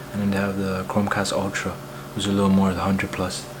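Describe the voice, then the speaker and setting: Whispering at a very fast pace, a man is heard with audible room echo and noticeable background noise. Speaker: tech vlogger. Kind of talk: unboxing vlog. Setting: at home late at night. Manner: casual slangy.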